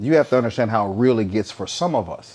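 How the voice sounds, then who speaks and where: A man's voice of medium pitch carries a dark, mellow tone. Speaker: retired professional bodybuilder. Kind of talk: casual chat. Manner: loud; animated.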